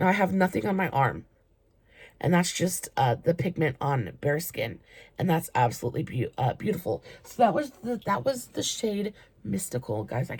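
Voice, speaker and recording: In a put-on character voice, the speaker sounds raspy at a middle pitch, with very wide pitch swings and a moderate pace. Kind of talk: casual, tripping over words.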